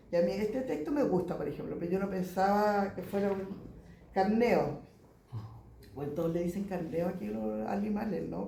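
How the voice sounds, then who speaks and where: A speaker with a Chilean accent is heard over noticeable background noise. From southern Chile, Chiloé (Ancud). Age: 60s. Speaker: poet. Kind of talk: casual talk at a book presentation. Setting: bookshop event with audience.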